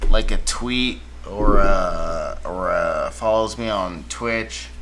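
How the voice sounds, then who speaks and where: A man talks with very wide pitch swings. Light background noise runs underneath. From Washington DC area, US. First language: Spanish. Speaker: music producer streamer. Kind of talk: casual livestream chat. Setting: livestream. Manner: halting.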